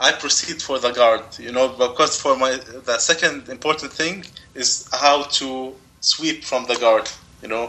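Noticeable background noise sits behind a man with an Arabic accent. He speaks at a medium pitch and a fairly slow pace with fairly even intonation. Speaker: jiu jitsu competitor. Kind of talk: interview. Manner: halting.

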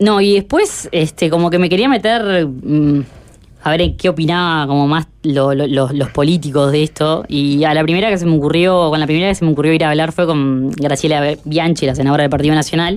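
A woman speaks at a fairly quick pace in a very deep, low voice, with ordinary pitch variation and very even loudness. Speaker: radio reporter. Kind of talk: field report.

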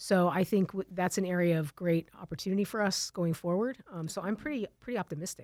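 A woman with an unremarkable speaking voice talks in an American accent at a medium pitch with ordinary pitch variation, moving at a fairly quick pace with hardly any pauses. The recording is very clean, with a silent background and a dry, close sound with no echo. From Tucson, Arizona. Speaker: telecom company executive. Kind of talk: interview.

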